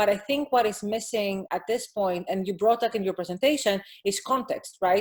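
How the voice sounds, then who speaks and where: The woman talks at a medium pitch with ordinary pitch variation. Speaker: academic panel discussant. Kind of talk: conference panel discussion. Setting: video conference. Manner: fast.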